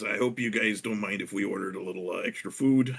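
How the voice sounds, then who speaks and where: Putting on a character voice, a man rattles along at a very fast pace in a raspy, medium-pitched tone. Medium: actual play. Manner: casual, friendly.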